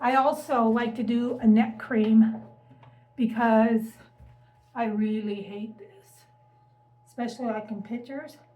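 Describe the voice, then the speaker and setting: Somewhat breathy and dark, mellow in tone, a woman's fairly high voice moves at a fairly slow pace with fairly even intonation. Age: 60s. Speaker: lifestyle vlogger. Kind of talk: casual talk to camera.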